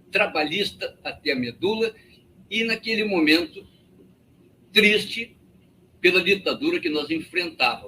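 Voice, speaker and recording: Raising and projecting his bright, sharp voice, a man speaks high in pitch at a fairly slow pace, with lively intonation and long, frequent pauses. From Rio Grande do Sul, Brazil. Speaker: party member. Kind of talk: political meeting speech.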